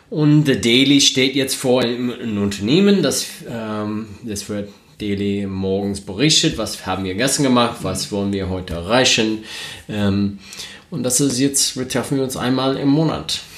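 Over noticeable background noise and some audible room echo, a man talks at a fairly slow pace with a medium-pitched voice. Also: ordinary pitch variation. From United States. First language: English (speaking German). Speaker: podcast co-host, renewable energy professional. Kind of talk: casual chat. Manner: hesitant, many fillers.

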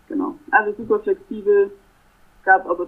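A woman talks, and her pitch swings very widely. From Germany, Stuttgart. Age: 20s. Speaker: master's student. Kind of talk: interview. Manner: hesitant, many filler sounds.

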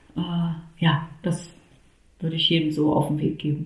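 Audible room echo carries a woman's fairly low-pitched voice. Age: 30s. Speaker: mother sharing home birth story. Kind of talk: interview testimony.

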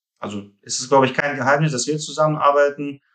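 A man speaks at a medium pitch with a Russian accent. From Russia (Rostov-on-Don), moved to Hamburg at 13. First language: Russian (speaking German). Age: 30s. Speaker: founder of a fund reporting firm. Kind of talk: interview. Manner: halting, many fillers.

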